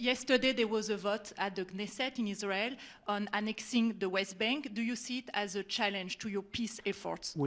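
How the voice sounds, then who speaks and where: In a French accent, a woman speaks at a fairly high pitch with fairly even intonation. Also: moderate pace. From France. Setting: press questioning, hard to hear.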